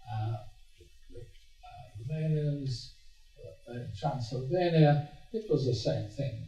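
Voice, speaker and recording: A man's medium-pitched voice at a very slow pace, with long, frequent pauses, lively intonation and big swings in loudness, plus audible room echo and music in the background. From Hungary, Budapest. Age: 80s+. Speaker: Holocaust survivor speaker. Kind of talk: talk to students. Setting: stage with audience. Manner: halting.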